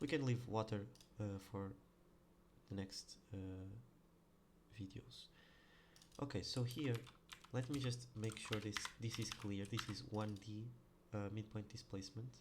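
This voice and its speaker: A man's fairly low, somewhat breathy voice with a non-native accent, fairly slow and fairly even in intonation, broken by long, frequent pauses. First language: not English. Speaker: programmer. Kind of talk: coding tutorial. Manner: halting, many fillers; casual.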